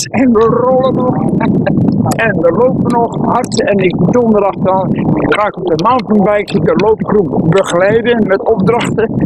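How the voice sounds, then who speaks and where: A man at a fairly slow pace, dry sound with no echo, loud background noise. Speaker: amateur athlete. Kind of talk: interview answer. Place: open country. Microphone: phone near.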